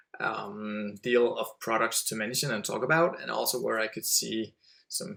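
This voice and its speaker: A man with a Danish accent at a moderate pace. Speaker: website entrepreneur. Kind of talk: podcast interview. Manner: halting.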